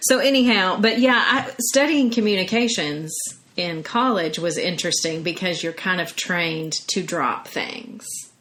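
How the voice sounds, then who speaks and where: A woman with an American accent, medium pitch and lively intonation at a moderate pace, with audible room echo and noticeable background noise. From US South. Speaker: podcast host. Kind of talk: casual chat.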